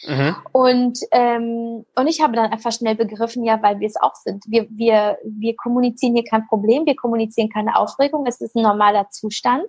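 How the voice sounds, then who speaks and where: Speaking at a moderate pace with hardly any pauses, a woman uses a normal speaking voice with a fairly high pitch and ordinary pitch variation. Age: 30s. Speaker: content creator and meditation podcaster. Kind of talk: interview.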